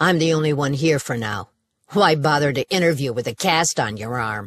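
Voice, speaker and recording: This is a put-on character voice with a growl. The intonation is lively. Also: woman, very deep, low pitch for a woman, moderate pace. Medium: read story. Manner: curt, provocative, challenging.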